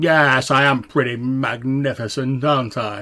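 A man uses a put-on character voice at a medium pitch. His pace is moderate. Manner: boastful, a different voice from the narration.

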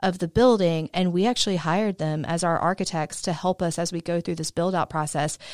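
In a normal speaking voice with an American accent, a woman talks fairly quickly at a fairly low pitch with fairly even intonation. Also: hardly any pauses, very clean recording, silent background. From US South, southwest Georgia. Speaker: business owner. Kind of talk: interview. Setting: studio.

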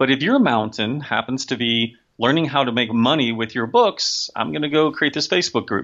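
A man talks in a plain, everyday voice at a medium pitch. His pace is moderate, with ordinary pitch variation. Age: 50s. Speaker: sci-fi and fantasy author. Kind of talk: casual interview.

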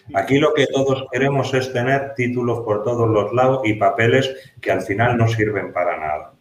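A man at a medium pitch with hardly any pauses, over noticeable background noise. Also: ordinary pitch variation, moderate pace, very even loudness. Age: 50s. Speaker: security consultant and trainer, former police officer. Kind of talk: interview. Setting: office, video call.

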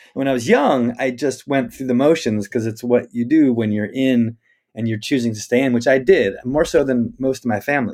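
A plain, everyday voice from a man with an American accent, medium in pitch, at a moderate pace. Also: fairly even intonation. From US Northwest (Spokane, Washington). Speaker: rabbi and nature-based educator. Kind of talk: interview conversation. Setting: office in the forest.

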